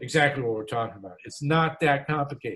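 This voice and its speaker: With ordinary pitch variation, a man's voice comes across as somewhat breathy. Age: 70s. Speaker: political activist and author. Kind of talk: radio interview. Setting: radio program. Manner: halting, many fillers and restarts.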